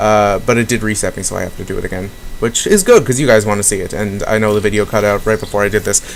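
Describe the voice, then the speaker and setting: Through noticeable background noise, a man with a fairly low pitch talks at a very fast pace in a monotone, flat intonation. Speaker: gaming video host. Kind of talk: let's play commentary.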